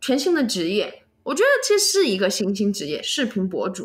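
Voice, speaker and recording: Her pitch swings very widely as this woman speaks. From Chengdu, Sichuan. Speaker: vlogger. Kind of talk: interview.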